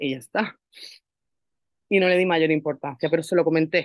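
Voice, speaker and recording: Very deep, low pitch from a woman, with fairly even intonation. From Málaga, Andalusia, Spain. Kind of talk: personal testimony in interview.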